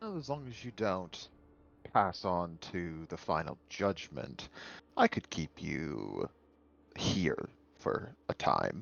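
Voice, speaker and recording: A man puts on a character voice with a very deep, low pitch. He speaks at a very slow pace with long, frequent pauses. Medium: actual play. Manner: measured, earnest.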